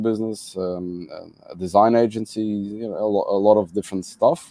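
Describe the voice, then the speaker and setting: With a Portuguese accent and a dark, mellow tone, the speaker talks at a fairly quick pace against a quiet background. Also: man. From Madeira, Portugal. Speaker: entrepreneur and conference organizer. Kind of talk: interview conversation. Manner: halting, many fillers.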